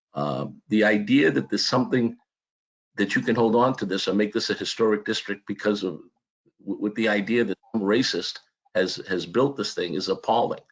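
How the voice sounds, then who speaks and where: In an American accent, a man speaks at a moderate pace with a fairly low pitch. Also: ordinary pitch variation. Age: 60s. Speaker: public commenter, contractor and church deacon. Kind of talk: public testimony. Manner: halting with repetitions.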